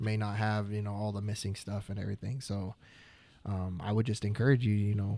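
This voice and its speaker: A man at a fairly quick pace and fairly low pitch in a monotone, flat intonation, on a very clean recording with a silent background. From Oklahoma. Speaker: videographer. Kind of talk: casual chat.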